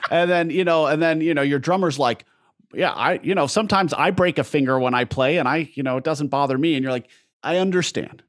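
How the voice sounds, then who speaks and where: Speaking at a very fast pace, a man with a fairly high pitch and ordinary pitch variation is captured in a very clean recording with a silent background. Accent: American. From Southern California. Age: 30s. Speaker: singer. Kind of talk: casual chat.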